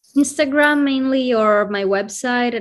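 A woman speaks at a fairly slow pace in an Italian accent. Her intonation is lively, and the background is quiet. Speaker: cycling photographer. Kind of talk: casual interview chat.

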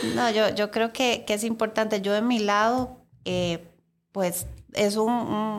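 A woman's medium-pitched voice at a very slow pace, fairly even in intonation, on a very clean recording with a silent background. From Costa Rica. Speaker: podcast host. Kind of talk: casual chat. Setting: studio.

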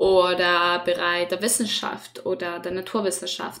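A woman speaks in a Spanish accent, her pitch sitting at a medium level. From Chile. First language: Spanish (speaking German). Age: 20s. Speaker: student podcast host. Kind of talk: casual chat.

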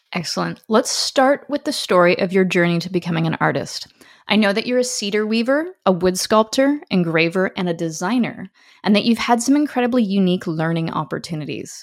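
It is an ordinary speaking voice, fairly quick and lively in intonation, with a Canadian accent on a very clean recording with a silent background. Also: woman, medium pitch for a woman. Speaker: podcast host. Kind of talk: interview.

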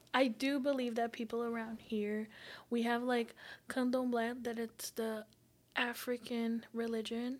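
With a Portuguese accent, a woman speaks at a fairly slow pace and a fairly high pitch in monotone, flat intonation. The recording is very clean, with a silent background. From Brazil. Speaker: psychology student. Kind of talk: casual chat.

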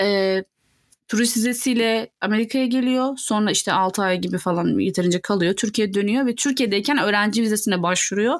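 A woman talks fairly quickly at a fairly high pitch, with ordinary pitch variation. Her loudness stays very even. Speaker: podcast co-host. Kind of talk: casual chat.

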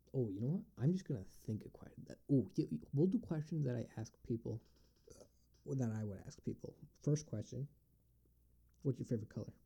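Speaking in an American accent at a fairly quick pace, this somewhat breathy, dark, mellow voice has lively intonation and long, frequent pauses. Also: man, medium pitch for a man, big swings in loudness. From US Northeast, Binghamton, New York. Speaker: podcast host. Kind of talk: solo Q&A monologue. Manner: halting, many fillers.

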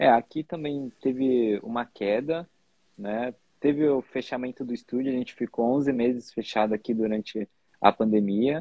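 A man with a medium-pitched, unremarkable speaking voice at a moderate pace. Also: fairly even intonation. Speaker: podcast host, tattoo artist. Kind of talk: interview. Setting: video call.

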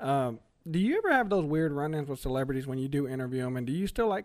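This man speaks very fast with an American accent and a fairly high pitch. The recording is very clean, with a silent background. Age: 30s. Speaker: podcast host, air conditioning technician. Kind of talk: casual interview chat. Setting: studio.

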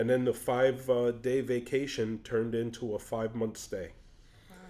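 The voice carries a New York accent and a dark, mellow tone. It moves at a moderate pace with ordinary pitch variation. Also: man. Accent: classic New York. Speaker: teacher of the blind. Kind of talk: testimony.

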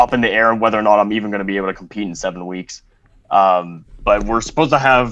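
This man has an ordinary speaking voice, fairly low in pitch, with fairly even intonation and a Canadian accent. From Canada. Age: 20s. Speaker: junior powerlifter. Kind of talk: casual interview. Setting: remote recording.

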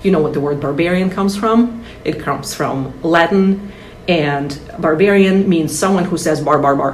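A woman with a Russian accent and a fairly low voice speaks at a moderate pace with ordinary pitch variation, amid audible room echo and noticeable background noise. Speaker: translator and author. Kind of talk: interview.

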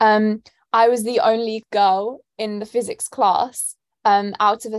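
At a fairly slow pace, a woman with a London accent speaks in a fairly high pitch with monotone, flat intonation and big swings in loudness, the sound dry and close with no echo. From London, England. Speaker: student and nonprofit founder. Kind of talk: interview answers.

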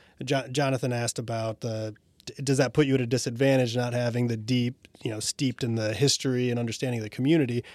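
Dry and close with no echo, a very clean recording with a silent background captures a man's unremarkable speaking voice at medium pitch with fairly even intonation. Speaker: podcast co-host and regional development executive. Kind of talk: interview conversation.

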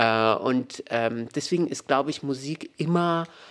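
A man speaks at a fairly slow pace with a fairly high pitch and ordinary pitch variation. The recording is very clean, the background silent. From Morocco, Meknes. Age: 30s. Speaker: author. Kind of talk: interview.

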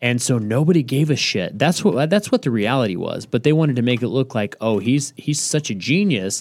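A man with a normal speaking voice talks at a fairly quick pace, medium in pitch with lively intonation. The recording is very clean, with a silent background. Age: 30s. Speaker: accountant (CPA). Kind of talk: casual chat.

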